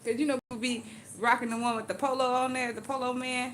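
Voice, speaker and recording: A woman's fairly high, animated voice at a fairly quick pace, with audible room echo and noticeable background noise. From Louisiana. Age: 40s. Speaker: live streamer doing hair. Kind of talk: casual live stream chat.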